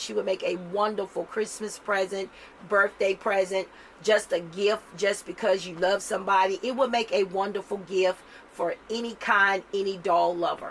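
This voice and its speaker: A woman does a raspy put-on character voice at medium pitch and a moderate pace, in monotone, flat intonation, with light background noise. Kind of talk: casual product-review sales pitch.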